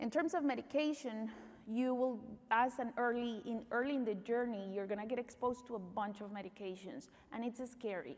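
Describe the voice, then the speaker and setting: A woman's fairly high voice with a Spanish accent and ordinary pitch variation. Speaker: pediatric neuromuscular doctor. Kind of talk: conference talk.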